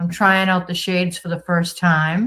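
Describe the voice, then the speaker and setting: A woman with a Boston accent, somewhat breathy, at a medium pitch. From Boston area, Massachusetts. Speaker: livestream host. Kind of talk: casual livestream chat reading comments. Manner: animated.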